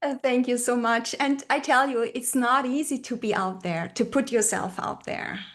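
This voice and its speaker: With a German accent, a woman speaks in a high pitch at a moderate pace with ordinary pitch variation and hardly any pauses, against a quiet background. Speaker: brand identity strategist and retreat leader. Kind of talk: podcast interview. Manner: hesitant, with many fillers and repeated words.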